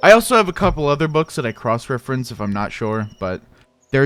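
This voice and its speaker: A man with a slight Midwestern accent speaks at a medium pitch. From US Midwest, South Dakota. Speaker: gaming streamer. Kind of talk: casual chat. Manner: halting, many restarts and fillers.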